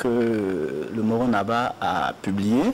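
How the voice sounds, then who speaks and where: Light background noise sits behind a man speaking. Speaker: poetry reader. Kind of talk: reading aloud. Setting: TV studio. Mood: solemn, declamatory. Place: studio.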